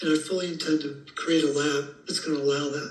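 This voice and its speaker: A man speaks at a moderate pace with a fairly high pitch. Noticeable noise sits in the background. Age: 70s. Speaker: health educator. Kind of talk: interview.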